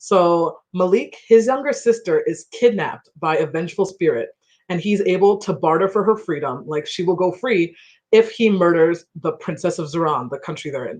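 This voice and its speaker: A woman with a normal speaking voice, medium pitch, lively intonation and a moderate pace. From Ghana, raised in US from age 3-4. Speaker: debut novelist. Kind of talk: panel conversation at book launch. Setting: livestreamed online event. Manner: casual, chatty.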